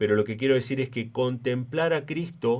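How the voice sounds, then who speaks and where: A man's medium-pitched voice at a fairly slow pace with fairly even intonation. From Argentina. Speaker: preacher. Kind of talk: sermon. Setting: church.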